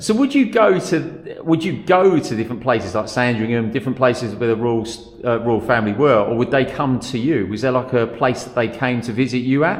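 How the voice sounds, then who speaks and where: Background noise is noticeable as a man speaks at a medium pitch with ordinary variation. He keeps a fairly quick pace with hardly any pauses. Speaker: interviewer. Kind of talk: casual interview questions.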